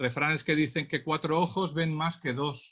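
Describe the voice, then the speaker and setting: A man with a Catalan accent speaks at a fairly slow pace. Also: quiet background. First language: Catalan (speaking Spanish). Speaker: traffic police accident investigator, trainer. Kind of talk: webinar lecture. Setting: online webinar. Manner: hesitant, many fillers.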